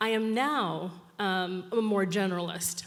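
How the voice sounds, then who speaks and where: With audible room echo, a woman speaks with an American accent at a medium pitch and fairly even intonation. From New York. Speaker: social innovation strategist. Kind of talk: conference talk. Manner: fast.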